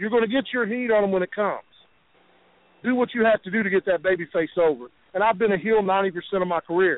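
A man with an Appalachian accent speaks at a very fast pace, his voice high-pitched. His pitch varies in an ordinary way, and he takes long, frequent pauses. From West Virginia. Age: 40s. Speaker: professional wrestler. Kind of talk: phone interview.

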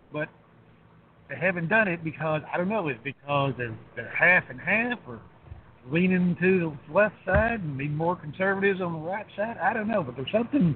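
A man's high-pitched voice with lively intonation. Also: moderate pace. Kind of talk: casual chat.

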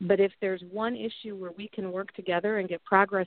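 Here is an ordinary speaking voice with an American accent. It moves at a fairly quick pace. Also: woman. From US Midwest, southwest Missouri (Ozarks, Joplin). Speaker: political candidate and business executive. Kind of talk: interview.

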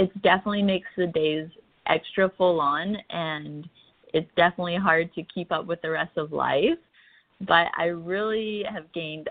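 A woman speaks in a normal speaking voice with a Canadian accent. Her pitch sits fairly low, her pace is moderate, and her intonation stays fairly even. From central Canada. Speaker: wellness influencer. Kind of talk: interview conversation.

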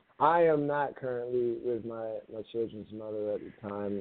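With an American accent, a raspy-voiced man talks at a moderate pace, at medium pitch and with fairly even intonation.

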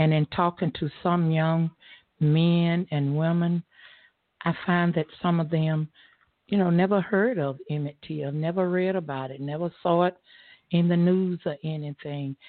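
Fairly low in pitch with fairly even intonation, a woman speaks in an unremarkable speaking voice. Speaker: stage actor. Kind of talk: radio interview. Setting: studio.

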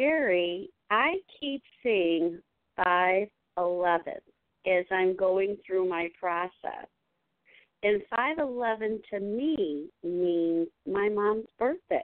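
Speaking at a very slow pace, a woman uses a medium pitch and lively intonation. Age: 60s. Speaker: caller. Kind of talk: call-in question.

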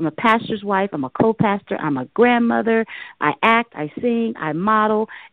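With an unremarkable speaking voice, a woman speaks fairly high in pitch and with lively intonation. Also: moderate pace. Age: 40s. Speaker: gospel singer and co-pastor. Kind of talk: interview. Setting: studio.

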